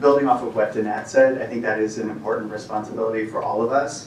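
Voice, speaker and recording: A man with a Southern Californian accent, noticeable background noise and audible room echo. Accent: Valley girl. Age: 30s. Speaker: financial services professional. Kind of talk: panel discussion. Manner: halting, many repetitions.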